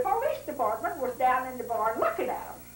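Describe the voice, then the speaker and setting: Noticeable background noise behind a woman's voice with very wide pitch swings. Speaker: family storyteller. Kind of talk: interview answer. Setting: home recording.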